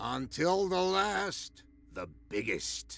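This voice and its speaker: Putting on a character voice, a man speaks in a raspy, high-pitched tone. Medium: video game. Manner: sly, knowing.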